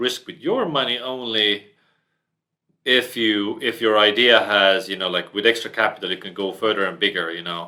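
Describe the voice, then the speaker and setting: Medium-pitched male speech with a non-native accent. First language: not English. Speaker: entrepreneur. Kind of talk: podcast interview.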